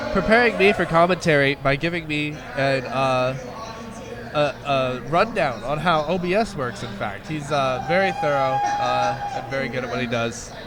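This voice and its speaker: Lively intonation at a moderate pace, with audible room echo and crowd noise in the background. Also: man, fairly high pitch for a man. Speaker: esports commentator. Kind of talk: live commentary. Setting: gaming expo. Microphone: quiet microphone.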